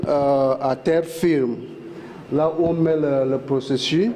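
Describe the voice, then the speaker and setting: A man with a non-native accent speaks at a very slow pace. There is noticeable background noise. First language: not French (speaking French). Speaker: oil plant guide. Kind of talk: guided site tour. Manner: halting, many fillers.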